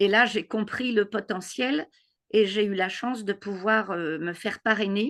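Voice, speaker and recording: Against a quiet background, a woman speaks fairly slowly with vocal fry. Her pitch is medium, and it varies in an ordinary way. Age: 60s. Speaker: retiree sharing a health testimony. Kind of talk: testimony.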